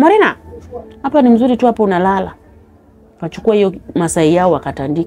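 A woman speaks at a fairly quick pace with very wide pitch swings, broken by long, frequent pauses. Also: medium pitch for a woman. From Kenya, Homa Bay County (Luo); Kenya. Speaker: interview guest telling life story; interview guest. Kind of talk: personal testimony. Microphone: lapel.

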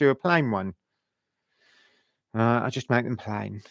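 The sound is dry with no echo, set against a quiet background. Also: man. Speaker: woodturning demonstrator. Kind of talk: live-stream tutorial chat. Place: workshop. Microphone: headset.

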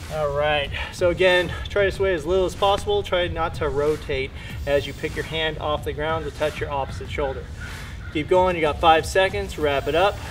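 Light background noise sits under the voice. A man talks at a moderate pace. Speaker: fitness trainer. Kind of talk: workout instruction. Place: garden.

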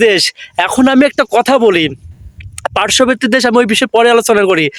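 Recorded dry and close with no echo, a man speaks at an extremely high pitch with ordinary pitch variation and very even loudness. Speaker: YouTuber. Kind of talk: vlog commentary.

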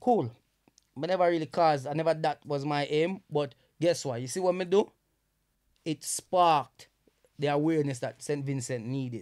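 The speaker has a Jamaican accent, a moderate pace and ordinary pitch variation. Long, frequent pauses stand out against a quiet background. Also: man, fairly high pitch for a man. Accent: Jamaican English with Patois features. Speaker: comedian and social media influencer; comedian, social media influencer. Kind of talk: casual chat. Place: studio. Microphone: studio mic.

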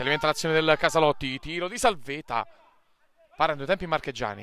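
With dry sound, no echo and light background noise, a man speaks in an animated tone with ordinary pitch variation. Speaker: match commentator. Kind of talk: live football commentary, delivered like a stadium announcer. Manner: animated, punchy, with exclamations and short staccato phrases. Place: stadium. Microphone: phone near.

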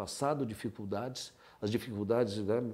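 Using a dark, mellow tone, a man talks at a fairly quick pace. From Brazil, São Paulo city. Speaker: orthopedic surgeon. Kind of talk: life-story testimony. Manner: halting, with frequent repetitions. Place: home room. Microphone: lapel.

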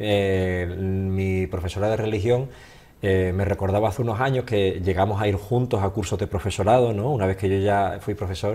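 In an Andalusian accent, a man speaks at a moderate pace in a dark, mellow, somewhat breathy voice with ordinary pitch variation. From Andalusia, Seville. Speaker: holistic therapist, former teacher. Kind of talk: interview. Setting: studio. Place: studio. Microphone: studio mic.

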